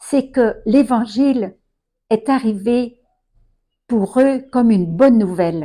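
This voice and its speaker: A woman speaks at a very slow pace with a fairly high pitch. Her tone is dark and mellow. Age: 80s+. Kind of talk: testimony.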